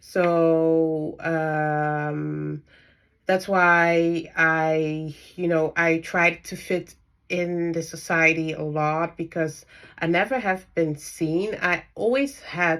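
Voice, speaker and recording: On a very clean recording with a silent background, a woman with a non-native accent speaks at a very slow pace. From Netherlands. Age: 30s. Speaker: spiritual coach and dietitian. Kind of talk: personal vlog monologue. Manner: halting, many fillers.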